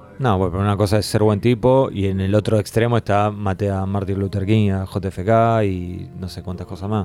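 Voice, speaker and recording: Over music in the background, a man with an Argentine accent talks at a moderate pace in a fairly low pitch, with monotone, flat intonation and hardly any pauses. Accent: Argentine Spanish (Rioplatense). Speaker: podcast host. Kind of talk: casual chat.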